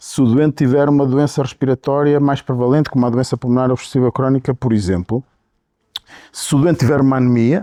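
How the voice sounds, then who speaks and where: A dark, mellow tone at a fairly quick pace. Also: man, dry, close sound with no echo. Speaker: physician, pulmonology professor. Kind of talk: interview. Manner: hesitant, many fillers.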